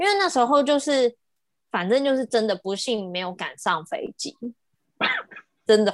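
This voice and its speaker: A woman's high-pitched, animated voice at a fairly slow pace, in a dry, close sound with no echo. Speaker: travel podcast co-host and designer. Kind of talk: casual chat. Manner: animated, laughing often.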